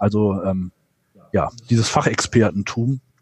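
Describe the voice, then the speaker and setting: Dark and mellow in tone, this man's medium-pitched voice keeps a fairly even intonation. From northwestern Germany. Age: 40s. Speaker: trade association executive. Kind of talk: interview. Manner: hesitant, many filler sounds.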